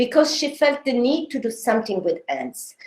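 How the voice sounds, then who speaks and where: A woman with a Sicilian accent. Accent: Sicilian Italian accent in English. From Sicily, Italy. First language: Italian. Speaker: design history researcher. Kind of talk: academic seminar talk. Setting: online seminar. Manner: halting, many filler sounds.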